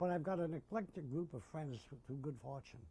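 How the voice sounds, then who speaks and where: At a fairly quick pace, a man with an American accent speaks in a fairly high pitch with a dark, mellow tone and a somewhat breathy quality. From US Northeast, Jersey City, New Jersey. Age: 80s+. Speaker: war veteran. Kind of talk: oral history interview. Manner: halting, with repetitions.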